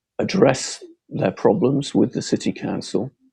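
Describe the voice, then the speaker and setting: A man at a fairly slow pace, with a northern English accent. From northern England, Bolton, Lancashire. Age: 70s. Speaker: local election candidate. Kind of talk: closing campaign speech. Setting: podcast hustings. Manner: halting.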